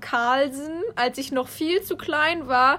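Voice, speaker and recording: Raising and projecting her high voice, a woman sounds bright and sharp with ordinary pitch variation. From Hesse, Rüsselsheim. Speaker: podcast co-host. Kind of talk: casual chat.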